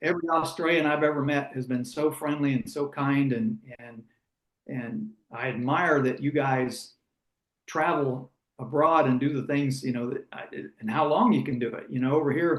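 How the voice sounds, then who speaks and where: Using an unremarkable speaking voice, a man talks at a moderate pace and a fairly high pitch with ordinary pitch variation. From United States. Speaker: former racing driver and broadcaster. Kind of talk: interview conversation.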